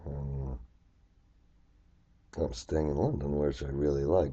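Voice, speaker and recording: In a somewhat breathy voice, a man speaks at a fairly slow pace with monotone, flat intonation. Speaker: finance instructor. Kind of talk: tutorial. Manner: hesitant, many fillers.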